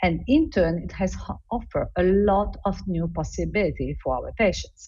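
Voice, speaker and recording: There is audible room echo as a woman with an Italian accent speaks at a moderate pace. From Italy. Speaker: embryology lab director. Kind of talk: conference lecture.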